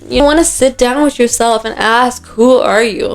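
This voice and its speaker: A woman talks at a fairly slow pace with ordinary pitch variation, and noticeable background noise is present. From Dubai. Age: 20s. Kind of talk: casual talk to camera. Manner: upbeat.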